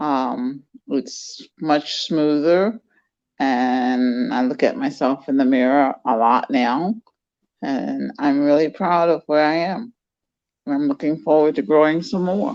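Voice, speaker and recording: A woman's very deep, low voice with lively intonation, at a very slow pace. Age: 60s. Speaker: retired judge. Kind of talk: interview.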